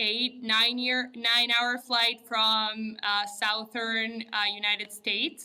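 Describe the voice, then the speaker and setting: Speaking very slowly, a woman with a Spanish accent keeps a monotone, flat intonation. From Uruguay. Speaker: architect and entrepreneur. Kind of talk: podcast interview.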